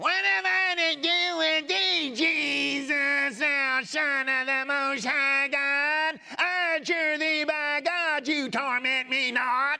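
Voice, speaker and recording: A loud, high-pitched put-on character voice at a very slow pace. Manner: tormented, shouting.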